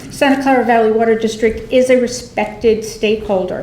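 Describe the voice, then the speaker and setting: Over noticeable background noise and audible room echo, a woman speaks at a moderate pace in a fairly high voice with fairly even intonation. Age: 60s. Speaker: environmental advocate. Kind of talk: public comment at board meeting. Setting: public meeting.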